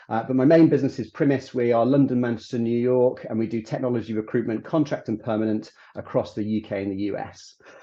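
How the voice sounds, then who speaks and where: A man with a British accent talks at a very fast pace with hardly any pauses. His pitch is medium and his intonation fairly even. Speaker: recruitment firm executive. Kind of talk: webinar presentation.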